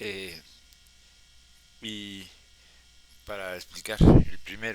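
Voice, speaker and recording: Very slowly, a man talks in a fairly low voice with a bright, sharp tone. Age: 70s. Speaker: historian storyteller. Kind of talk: personal history talk. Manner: halting.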